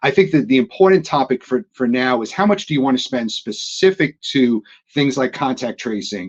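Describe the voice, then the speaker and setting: Lively intonation at a moderate pace with a New York accent, in a dry, close sound with no echo. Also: man. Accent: New York accent (joking calls it Atlanta). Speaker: technology industry executive. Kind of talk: panel discussion webinar. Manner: halting, frequent repetitions.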